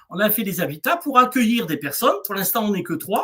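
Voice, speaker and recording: The man's voice sits high in pitch. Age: 60s. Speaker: eco-hamlet founder and therapist. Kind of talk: interview on a livestream. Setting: video livestream. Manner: halting, many fillers.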